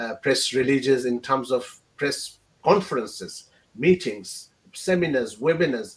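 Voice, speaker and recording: The man's fairly slow delivery sits at a medium pitch, with ordinary variation in pitch. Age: 60s. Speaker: genocide researcher and institute founder. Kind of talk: webinar talk. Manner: halting, many fillers.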